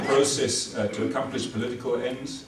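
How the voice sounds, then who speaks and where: This man has a South African accent. Noticeable background noise and audible room echo sit around his voice. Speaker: military legal advisor, lecturer. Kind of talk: lecture. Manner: halting, many fillers.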